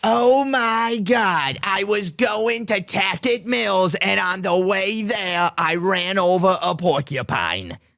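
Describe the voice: Putting on a character voice, a man sounds raspy at a high pitch, speaking at a fairly slow pace with ordinary pitch variation.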